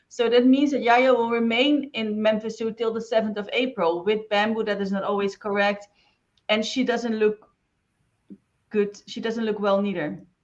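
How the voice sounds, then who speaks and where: A woman with a non-native accent, fairly high pitch, fairly even intonation and a moderate pace. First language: not English. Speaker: interviewer. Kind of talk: interview.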